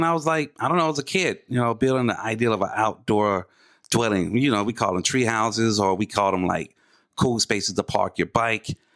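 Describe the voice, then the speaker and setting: With an American accent, a man talks at a fairly quick pace in an unremarkable speaking voice. His medium pitch carries lively intonation. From Atlanta, US South. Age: 40s. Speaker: podcast co-host, artist and designer. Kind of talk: casual chat.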